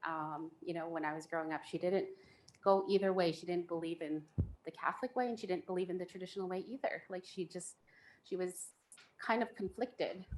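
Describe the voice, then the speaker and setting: This woman talks fairly quickly at a medium pitch, her pitch varying in an ordinary way. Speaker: panelist sharing faith story. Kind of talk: personal testimony in panel discussion.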